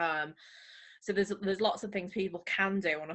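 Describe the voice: With a fairly bright tone, a woman talks at a fairly quick pace with little pitch movement.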